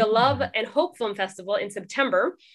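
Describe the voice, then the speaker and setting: A woman with a West Coast accent speaks in a fairly high voice against a quiet background. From California (Oxnard), Trinidadian parents. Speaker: documentary filmmaker. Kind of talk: casual interview.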